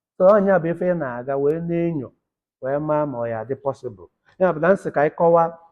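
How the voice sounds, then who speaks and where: This man talks at a very fast pace with a Nigerian accent, his pitch fairly high. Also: ordinary pitch variation. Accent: Nigerian Igbo English. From Nigeria, Nteje-Abogu, Anambra State. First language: Igbo. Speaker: academic lecturer. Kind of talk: lecture.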